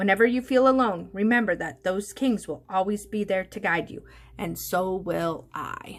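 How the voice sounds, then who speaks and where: Using a put-on character voice, a woman speaks at medium pitch. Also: moderate pace. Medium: read story.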